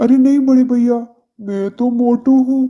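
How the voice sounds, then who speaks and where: This is a cartoonish character voice. Its pitch sits fairly high. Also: moderate pace. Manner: loud, impulsive, brash.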